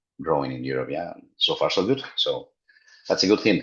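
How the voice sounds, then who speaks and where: A man speaks at a fairly quick pace. He has a Spanish accent. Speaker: routing security program representative. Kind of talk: online community meeting presentation. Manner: hesitant, many fillers.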